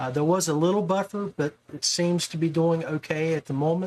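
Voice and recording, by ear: A man's fairly high voice, slightly mellow in tone, at a fairly quick pace with ordinary pitch variation.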